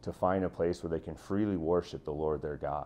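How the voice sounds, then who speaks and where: A man with a very deep, low voice at a fairly quick pace, music playing behind him. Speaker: school teacher. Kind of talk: interview answer. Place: home room. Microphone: lapel.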